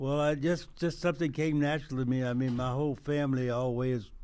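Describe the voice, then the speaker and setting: A man with a Texas accent, medium pitch, dark and mellow tone, fairly even intonation and moderate pace. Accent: Southern US (Texas). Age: 80s+. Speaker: retired police officer. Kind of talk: radio interview. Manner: halting.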